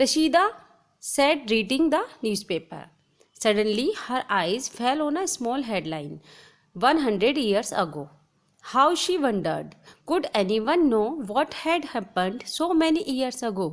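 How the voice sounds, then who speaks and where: High female speech with very wide pitch swings, at a moderate pace. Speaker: teacher. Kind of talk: lecture.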